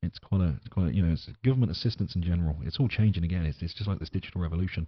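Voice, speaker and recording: Somewhat breathy, a man with a very deep, low pitch and an English accent talks at a very fast pace with ordinary pitch variation. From England. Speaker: podcast host. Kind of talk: casual podcast monologue. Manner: halting, many fillers.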